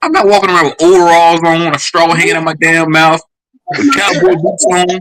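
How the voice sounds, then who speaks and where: A high-pitched man with a Southern US accent, at a fairly quick pace. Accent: very Southern. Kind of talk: heated debate. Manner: animated.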